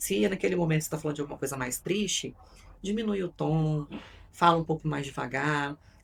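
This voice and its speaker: At a fairly quick pace, a woman speaks. Her pitch is very deep and low. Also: ordinary pitch variation. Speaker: psychoanalyst and communication coach. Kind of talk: podcast interview. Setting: studio.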